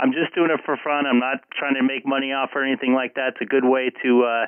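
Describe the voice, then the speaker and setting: Using a medium pitch, a man speaks with fairly even intonation. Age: 40s. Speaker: amateur radio operator and live streamer. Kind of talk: ham radio contact conversation. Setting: radio link via Echo Link, live stream. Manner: hesitant, many filler words.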